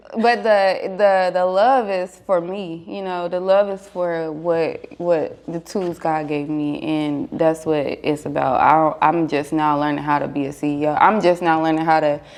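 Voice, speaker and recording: In a normal speaking voice, a woman talks fairly slowly at a fairly low pitch with ordinary pitch variation. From North Carolina. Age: 20s. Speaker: fashion designer and business owner. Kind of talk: podcast interview. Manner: casual.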